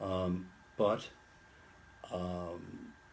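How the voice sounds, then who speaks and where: Audible room echo surrounds a man speaking in a very deep, low voice. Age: 70s. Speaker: retired lawyer with Alzheimer's. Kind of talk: interview. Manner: halting, many fillers and repeats.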